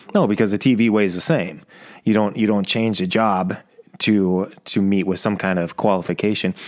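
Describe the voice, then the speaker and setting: Here is a man with an unremarkable speaking voice, fairly low in pitch. He talks at a moderate pace with fairly even intonation. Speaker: podcast host. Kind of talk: interview. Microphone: old microphone with echo.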